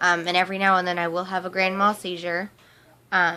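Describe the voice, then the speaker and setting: The speech is flat and monotone, with noticeable noise in the background. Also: woman. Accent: American. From US Midwest, Topeka, Kansas. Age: 20s. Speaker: vlogger. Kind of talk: personal testimony vlog. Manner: hesitant, many fillers.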